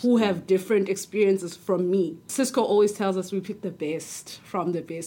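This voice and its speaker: A woman's medium-pitched voice with a dark, mellow tone, a fairly quick pace and fairly even intonation. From South Africa. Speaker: graduate trainee. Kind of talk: casual chat.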